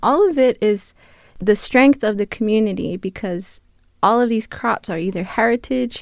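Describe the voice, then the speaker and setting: Over a quiet background, a woman talks in a normal speaking voice. Her pitch is fairly high, with ordinary variation. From Tohono O'odham Nation, southern Arizona. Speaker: gardener and cultural outreach worker. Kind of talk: interview. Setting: radio studio.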